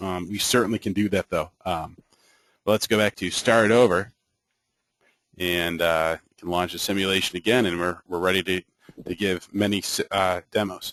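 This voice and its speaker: A man with a very deep, low voice speaks with fairly even intonation, big swings in loudness, and long, frequent pauses. The sound is dry and close, with no echo. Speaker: software trainer. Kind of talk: online training session. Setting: web meeting. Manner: fast; hesitant, many fillers.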